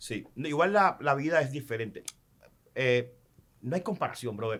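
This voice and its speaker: A man with a Cuban accent speaks at a moderate pace, his fairly high voice carried by lively intonation. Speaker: sports journalist, commentator and announcer. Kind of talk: podcast interview answer.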